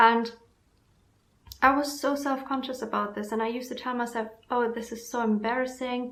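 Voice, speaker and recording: At a moderate pace, the speaker uses a monotone, flat intonation with long, frequent pauses and audible room echo. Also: woman, high pitch for a woman. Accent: German. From Germany. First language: German. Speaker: self-help vlogger. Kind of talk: casual vlog talk.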